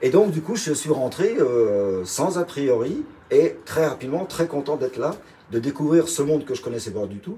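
With very wide pitch swings, a man speaks at a moderate pace and a fairly high pitch. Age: 60s. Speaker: retired chef. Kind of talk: interview.

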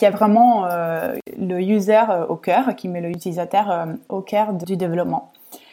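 A woman's dark, mellow tone at a fairly slow pace, with ordinary pitch variation. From Italy, Rome. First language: Italian (speaking French). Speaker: senior product manager at a medtech startup. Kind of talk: interview. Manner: hesitant, many fillers.

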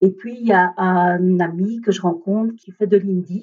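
This woman has a dark, mellow tone that comes across as somewhat breathy. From India, raised in Belgium from age 3. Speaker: energy therapist. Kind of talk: interview about personal story. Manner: hesitant, many fillers.

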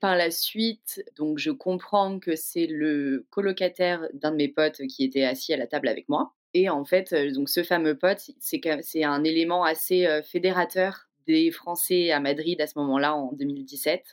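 A woman's fairly low voice at a fairly slow pace, with ordinary pitch variation and hardly any pauses. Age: 30s. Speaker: podcast guest telling her love story. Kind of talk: personal storytelling. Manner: casual, hesitant with fillers.

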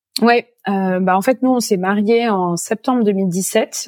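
Dark and mellow in tone, a woman speaks at a medium pitch with a dry, close sound and no echo. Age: 30s. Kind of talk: interview testimony. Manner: halting, many fillers and repetitions.

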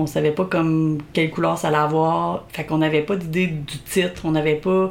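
A woman with an unremarkable speaking voice, fairly low pitch, fairly even intonation, and a moderate pace. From Quebec, Belle-Chasse area. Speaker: podcast host. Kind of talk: casual chat, playful banter. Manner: playful, laughs often.

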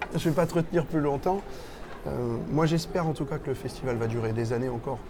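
Over noticeable background noise and audible room echo, a man talks at a fairly quick pace, his fairly high pitch showing ordinary variation. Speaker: podcast host, role-player. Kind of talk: casual interview. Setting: game festival venue.

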